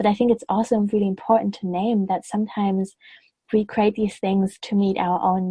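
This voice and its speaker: Somewhat breathy, a woman speaks with a non-native accent and fairly even intonation. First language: not English. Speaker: podcast host and web designer. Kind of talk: interview.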